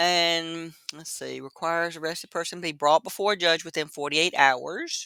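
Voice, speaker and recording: The speaker has a North Carolina accent. The pace is moderate. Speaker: true crime YouTuber. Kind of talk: casual livestream commentary. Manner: casual, halting.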